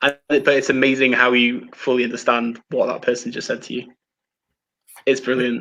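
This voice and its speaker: Monotone, flat intonation marks this man's speech at a moderate pace. His medium pitch carries a bright, sharp tone. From Wales. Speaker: film live-streamer. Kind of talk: casual chat. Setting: live stream.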